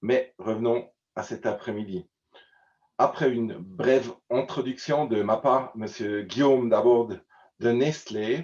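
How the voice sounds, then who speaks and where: A man speaks at a very slow pace, with long, frequent pauses. His pitch sits in the middle range and varies in an ordinary way. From German-speaking Switzerland. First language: Swiss German (speaking French). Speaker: conference presenter. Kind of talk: conference introduction. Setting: virtual online event. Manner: halting, many hesitations.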